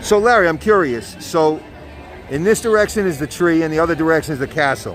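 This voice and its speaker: A high-pitched man with an American accent and lively intonation, crowd noise in the background. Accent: New York accent, noticed by viewers. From New York. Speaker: live-stream vlogger. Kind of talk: live walking vlog. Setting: outdoors at theme park.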